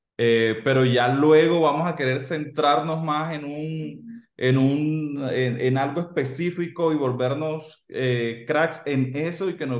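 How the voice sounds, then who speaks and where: Audible room echo follows a man who speaks very slowly in a fairly high voice with ordinary pitch variation. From Colombia. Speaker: digital marketing agency co-founder. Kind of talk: interview. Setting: video call. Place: home room. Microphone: video call.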